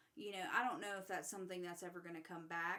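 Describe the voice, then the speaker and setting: A woman speaks at a medium pitch in a bright, sharp tone with fairly even intonation. Audible echo from the room surrounds her voice. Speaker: podcast host. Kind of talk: casual chat. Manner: halting.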